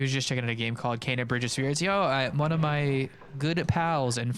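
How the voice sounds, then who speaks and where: This man has a medium pitch with ordinary pitch variation. He speaks at a moderate pace. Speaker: video game speedrunner streamer. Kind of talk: casual live-stream chat while playing. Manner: quieter and calmer than usual; too loud.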